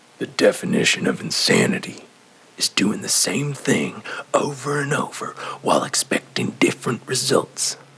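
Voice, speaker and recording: A raspy, put-on character voice from a man, fairly high in pitch and at a moderate pace. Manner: lecturing, fatherly.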